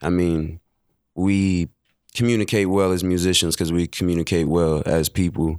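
Over a silent background in a very clean recording, a man with a very deep, low pitch speaks with very even loudness and fairly even intonation. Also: moderate pace, dry, close sound with no echo. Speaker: musician. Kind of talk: casual chat.

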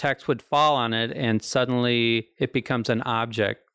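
Speaking fairly slowly with an American accent, a man has an unremarkable speaking voice at medium pitch with fairly even intonation. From Ozarks, US. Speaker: artist and gallery owner. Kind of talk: casual chat. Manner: laughs often.

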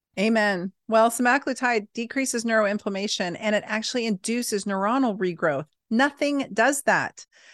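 A woman uses a normal speaking voice at a fairly high pitch, with ordinary pitch variation, at a moderate pace with hardly any pauses. The sound is dry and close with no echo, over a quiet background. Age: 40s. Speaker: physician. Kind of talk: casual chat.

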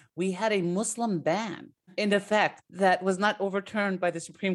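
In a very clean recording with a silent background, a woman speaks in an ordinary speaking voice at medium pitch and a moderate pace with ordinary pitch variation. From US, partly raised in Palestine. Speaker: political science professor. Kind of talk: radio interview.

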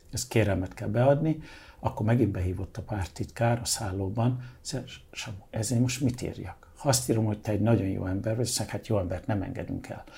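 In a very clean recording with a silent background, a man with a medium pitch and a dark, mellow tone speaks somewhat breathily at a fairly quick pace with ordinary pitch variation. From Hungary, born in London. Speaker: artist and interior designer. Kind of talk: interview.

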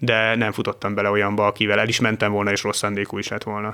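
A man speaks at a very fast pace in a bright, sharp tone on a very clean recording with a silent background. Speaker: traveller to conflict zones. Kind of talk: casual chat. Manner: halting.

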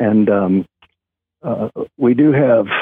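With an American accent, a man is talking. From Kansas. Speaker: musician, lead singer of a band. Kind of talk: radio interview. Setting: phone call. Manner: hesitant, many fillers.

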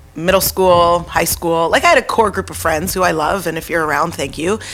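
With a fairly low pitch and ordinary pitch variation, a woman talks in a normal speaking voice. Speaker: guest sharing fitness story. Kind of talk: casual chat.

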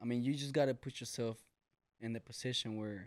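Speaking at a fairly quick pace, a man with a Mexican accent uses a medium pitch. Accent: sounds Mexican. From US, Mexican-American family. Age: 20s. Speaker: HVAC business owner. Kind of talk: casual chat.

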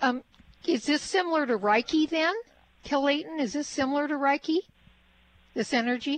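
At a fairly quick pace but with long, frequent pauses, a woman speaks in a high pitch with ordinary pitch variation, the sound dry and close with no echo. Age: 70s. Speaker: radio host. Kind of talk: radio interview. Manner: animated.

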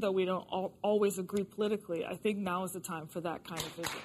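Her pitch sits in the middle range for a woman, and this woman's voice varies in pitch in an ordinary way. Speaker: political commentator. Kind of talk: panel discussion. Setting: studio with audience.

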